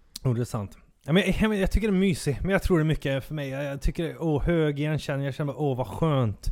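This man has a normal speaking voice, fairly high in pitch, with lively intonation. He talks at a fairly quick pace with hardly any pauses. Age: 30s. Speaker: podcast co-host. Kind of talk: casual chat.

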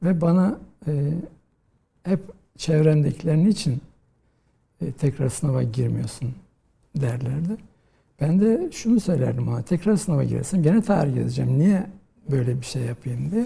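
With a dark, mellow tone and a somewhat breathy quality, a man talks at a moderate pace in a fairly high pitch, using lively intonation and long, frequent pauses. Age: 50s. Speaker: historian, professor. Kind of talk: interview.

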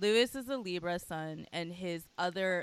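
Here a woman talks at a fairly low pitch. Her pitch variation is ordinary. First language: Mandarin Chinese. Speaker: podcast co-host. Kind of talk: casual chat.

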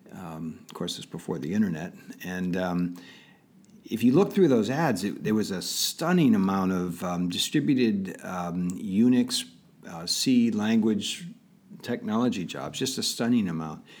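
Using a plain, everyday voice, a man with an American accent talks at a fairly slow pace and fairly low pitch, his intonation lively. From Pittsburgh area, Pennsylvania. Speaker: tech entrepreneur. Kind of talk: interview.

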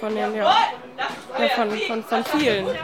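A woman at a moderate pace with ordinary pitch variation, amid crowd noise and audible room echo. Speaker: youth worker and street art festival organiser. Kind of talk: interview. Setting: outdoor event.

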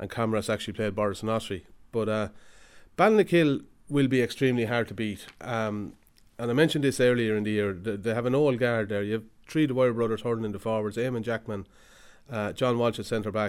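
Recorded very cleanly against a silent background, a man with an Irish Midlands accent talks at a very fast pace and medium pitch, with ordinary pitch variation. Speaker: hurling analyst. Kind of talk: casual chat.

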